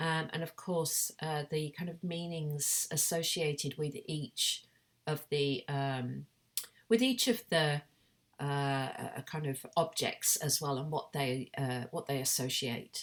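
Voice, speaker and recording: A woman speaks very slowly with a British accent, her pitch very deep and low with ordinary variation. The recording is very clean, with a silent background. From Britain. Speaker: artist and academic. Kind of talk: recorded conference presentation. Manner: halting, many fillers.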